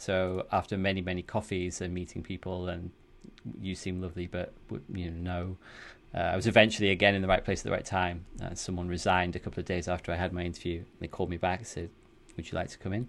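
In a northern English accent, a man talks at a very fast pace in a very deep, low voice with monotone, flat intonation. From northern England. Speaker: studio founder. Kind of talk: casual interview chat.

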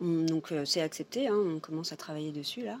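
Fairly low in pitch, this woman's voice unfolds at a fairly slow pace. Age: 30s. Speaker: visual artist. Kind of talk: casual chat.

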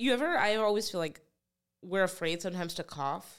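Lively in intonation, a woman with an American accent and an ordinary speaking voice talks at a fairly quick pace and medium pitch. The recording is very clean with a silent background. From New Jersey. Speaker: stand-up comedian and podcast host. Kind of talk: casual chat.

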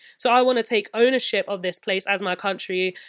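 A woman talks at a very fast pace in a London accent with fairly even intonation. The recording is very clean, with a silent background. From West London. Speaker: musician and visual artist. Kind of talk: interview.

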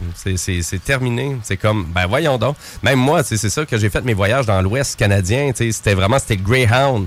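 At a fairly slow pace, a man speaks in a normal speaking voice with very even loudness. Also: medium pitch for a man, ordinary pitch variation. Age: 40s. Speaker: radio show guest. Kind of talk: casual chat. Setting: studio.

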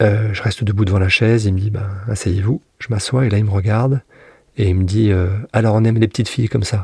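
With fairly even intonation, a man speaks fairly quickly in a fairly low pitch. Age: 50s. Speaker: former prison inmate. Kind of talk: testimony. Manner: halting.

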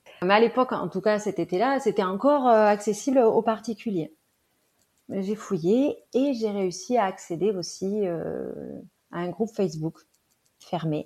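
A woman talks at a fairly slow pace, leaving long, frequent pauses. Her pitch sits in the medium range and varies an ordinary amount. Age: 30s. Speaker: mother. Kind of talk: interview testimony. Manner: hesitant with fillers.

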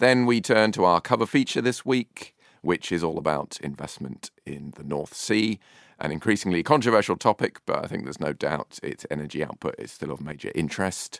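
A man with a British accent speaks at a fairly quick pace and a very deep, low pitch, with very wide pitch swings and big swings in loudness. The recording is very clean, silent in the background, dry and close with no echo. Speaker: podcast host. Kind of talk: panel discussion. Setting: studio.

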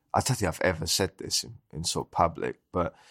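In a London accent, a man speaks at a moderate pace with a bright, sharp tone, the sound dry and close with no echo on a very clean recording with a silent background. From Southeast London. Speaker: chef. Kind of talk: casual chat.

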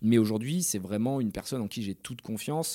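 A man's medium-pitched voice with a dark, mellow tone, ordinary pitch variation and a fairly quick pace on a very clean recording with a silent background. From France, Bordeaux area (Pessac). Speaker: entrepreneur. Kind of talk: interview.

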